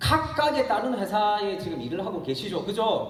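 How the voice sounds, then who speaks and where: A man with a Gyeongsang accent talks fairly slowly in an animated, excited tone with lively intonation, with audible room echo and noticeable background noise. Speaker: network marketing distributor and speaker. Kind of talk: motivational business seminar talk. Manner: animated, excited delivery.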